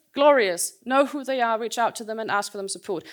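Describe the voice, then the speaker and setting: A woman's fairly high voice, a normal speaking voice with ordinary pitch variation, in a very clean recording with a silent background. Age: 40s. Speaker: conference speaker. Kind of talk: conference talk.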